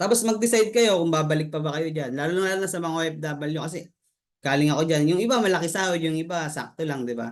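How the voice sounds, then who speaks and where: Audible room echo surrounds a man with a fairly high pitch who speaks at a very fast pace. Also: ordinary pitch variation. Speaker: network marketing member, former overseas worker. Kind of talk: testimony. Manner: halting.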